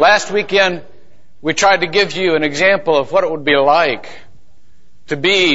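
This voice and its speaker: Against noticeable background noise, a man speaks fairly slowly with ordinary pitch variation. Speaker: pastor. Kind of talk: sermon. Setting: church.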